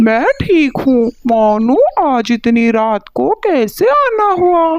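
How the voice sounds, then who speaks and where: The speaker uses a cartoonish character voice. The pace is very slow. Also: female-sounding voice, high pitch for a woman. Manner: matter-of-fact, bargaining.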